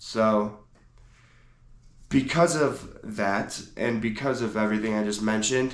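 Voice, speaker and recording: Against audible room echo, a man with a fairly low pitch speaks fairly slowly, leaving long, frequent pauses. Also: ordinary pitch variation. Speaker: podcast host. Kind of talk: solo podcast monologue. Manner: casual, conversational.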